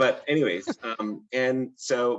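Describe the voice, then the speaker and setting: Here a man talks with lively intonation. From India. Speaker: hospital IT security executive. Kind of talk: interview. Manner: halting, many fillers.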